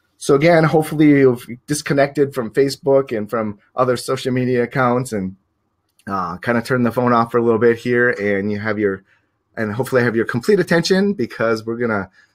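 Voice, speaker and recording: A medium-pitched man speaks with lively intonation at a fairly quick pace. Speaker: professional photographer and teacher. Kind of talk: webinar presentation. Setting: live online stream. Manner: fast; hesitant with many fillers.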